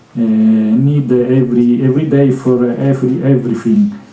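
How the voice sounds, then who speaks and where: Audible room echo surrounds a man speaking at a very slow pace, with a medium pitch and ordinary pitch variation. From Italy. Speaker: conference speaker with Asperger syndrome. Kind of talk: Q&A answer at conference. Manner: halting, many fillers and repetitions.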